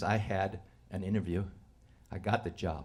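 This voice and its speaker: A man speaks in a somewhat breathy voice. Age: 70s. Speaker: storyteller, former teacher. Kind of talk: live storytelling. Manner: halting, many fillers.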